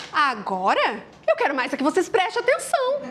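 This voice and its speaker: A woman speaks with a gaúcho accent. Her pace is fairly slow. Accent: gaúcho accent, uses tu. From southern Brazil, Rio Grande do Sul. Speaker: motivational speaker. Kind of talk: motivational talk. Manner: casual, conversational.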